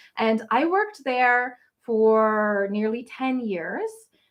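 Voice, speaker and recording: Speaking in a Canadian Maritime accent, a woman uses a fairly high pitch with ordinary pitch variation. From Nova Scotia, Canada. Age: 40s. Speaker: travel blogger. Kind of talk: livestream Q&A. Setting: livestream. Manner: casual, chatty.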